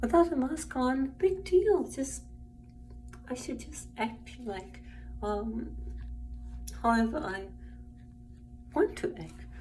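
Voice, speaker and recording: Very slow speech from a woman, with long, frequent pauses, big swings in loudness and audible room echo. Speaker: vlogger. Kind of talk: personal vlog monologue. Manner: halting, many fillers.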